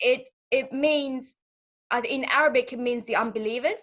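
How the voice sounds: This woman's fairly bright voice sits high in pitch with ordinary pitch variation. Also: moderate pace.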